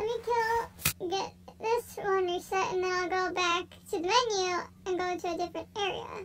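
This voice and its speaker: Against noticeable background noise, a woman speaks in an extremely high voice at a moderate pace with fairly even intonation. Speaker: gaming YouTuber. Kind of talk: gameplay commentary.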